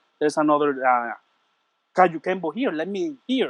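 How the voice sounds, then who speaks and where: In a Puerto Rican accent, a man talks with ordinary pitch variation. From Puerto Rico. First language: Spanish. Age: 40s. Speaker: martial arts instructor. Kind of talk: interview. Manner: halting.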